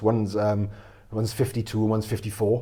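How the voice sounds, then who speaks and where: In a South Wales accent, a man speaks very fast with a fairly low, dark, mellow, somewhat breathy voice. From Wales, Pontyclun area. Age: 40s. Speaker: mental health speaker. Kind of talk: interview.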